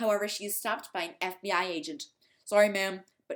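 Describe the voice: Fairly even intonation in plain reading aloud, with a quiet background.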